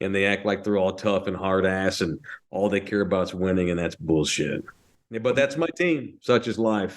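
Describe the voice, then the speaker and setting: A man with a North Texas accent, fairly low in pitch, with ordinary pitch variation at a moderate pace against a quiet background. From North Texas (Fort Worth). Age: 40s. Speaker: sports radio host. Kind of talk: casual podcast chat. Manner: animated.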